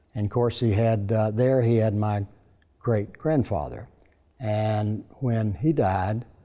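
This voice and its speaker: A man speaks very slowly in an East Tennessee accent, his pitch fairly low. His tone is dark and mellow, and his loudness stays very even. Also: ordinary pitch variation. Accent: East Tennessee Southern. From US South. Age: 80s+. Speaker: businessman. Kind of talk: interview. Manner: halting.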